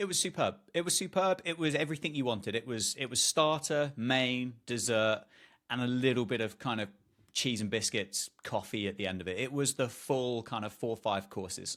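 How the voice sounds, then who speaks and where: Lively intonation marks this man's British accent. He keeps a moderate pace. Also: medium pitch for a man, very clean recording, silent background. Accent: British, remarked by self. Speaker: podcast co-host. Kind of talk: casual chat.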